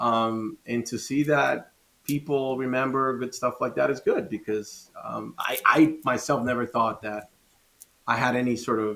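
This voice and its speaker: Here a man talks with a Spanish accent. His pitch is medium, with ordinary variation. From Dominican Republic. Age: 40s. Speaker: former pro inline skater. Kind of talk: casual interview. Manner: animated.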